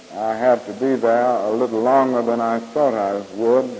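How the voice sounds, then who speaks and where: A man talks at a fairly slow pace in a flat monotone. Noticeable background noise runs underneath. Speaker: civil rights leader and Baptist minister. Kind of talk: public speech at a church conference. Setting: live podium speech, 1965 recording.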